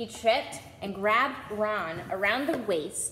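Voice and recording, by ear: Here a natural voice reads aloud. Its pitch moves in an ordinary way.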